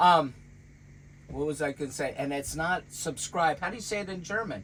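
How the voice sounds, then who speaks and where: A man speaks at a fairly high pitch. It is a normal speaking voice. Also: lively intonation, moderate pace. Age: 60s. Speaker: vlogger. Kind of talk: casual chat. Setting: in a van.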